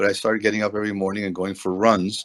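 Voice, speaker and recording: A man's fairly low, monotone voice with flat intonation and a Spanish accent, in a very clean recording with a silent background and a dry, close sound with no echo. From Latin America. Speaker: triathlete. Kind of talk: interview. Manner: halting.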